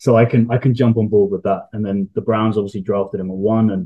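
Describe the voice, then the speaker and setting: A man with a strong British accent speaks in a fairly low voice at a fairly quick pace. His intonation is monotone and flat. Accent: heavy UK. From UK. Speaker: sports analytics contributor. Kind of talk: podcast interview. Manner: casual, with hesitations.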